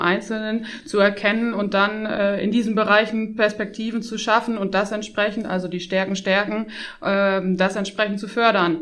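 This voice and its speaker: A woman's fairly high voice at a moderate pace, monotone and flat, over noticeable background noise. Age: 30s. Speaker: tax advisor, firm partner. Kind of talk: interview.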